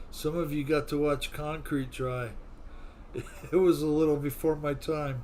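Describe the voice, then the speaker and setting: The speech has monotone, flat intonation broken by long, frequent pauses. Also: man, fairly high pitch for a man, moderate pace. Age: old. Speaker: RC flight simulator livestream host. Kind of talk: casual livestream chat. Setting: live stream.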